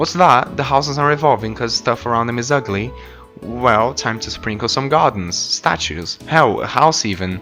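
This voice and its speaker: A man's medium-pitched voice with lively intonation, music in the background. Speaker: video essayist. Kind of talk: casual humorous gameplay narration. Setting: new microphone.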